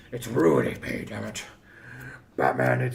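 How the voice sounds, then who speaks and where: Putting on a character voice, a man growls in a very deep, gravelly tone at a moderate pace, with audible echo. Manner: dramatically grim.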